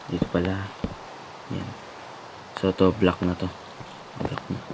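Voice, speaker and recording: A man with a very deep, low pitch speaks very slowly in a monotone, flat way over noticeable background noise. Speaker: gaming youtuber. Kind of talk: let's play commentary.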